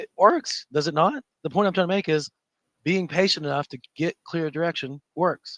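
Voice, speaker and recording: In a dry, close sound with no echo, a man with a high pitch speaks at a moderate pace in an animated tone, with ordinary pitch variation and big swings in loudness. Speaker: trading educator. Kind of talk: live trading session commentary.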